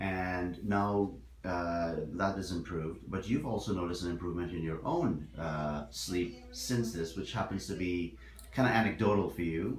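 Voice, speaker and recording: Noticeable background noise behind a moderate pace and lively intonation. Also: man, very deep, low pitch for a man. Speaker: oral and maxillofacial surgeon. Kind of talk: interviewer questions to patient.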